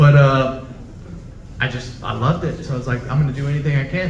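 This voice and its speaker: Light background noise and audible room echo surround a man with an American accent who talks very fast in a fairly high pitch. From US South. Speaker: filmmaker. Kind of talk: post-screening Q&A. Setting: stage with audience. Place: hall. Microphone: pa.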